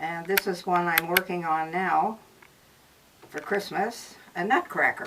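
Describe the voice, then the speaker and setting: A woman's intonation stays fairly even while noticeable background noise carries on. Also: fairly low pitch for a woman. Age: 80s+. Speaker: craftswoman. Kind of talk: casual interview.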